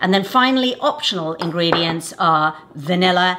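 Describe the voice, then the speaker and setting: Moderate-paced speech from a woman over noticeable background noise. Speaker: cooking show host. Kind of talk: tutorial. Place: kitchen.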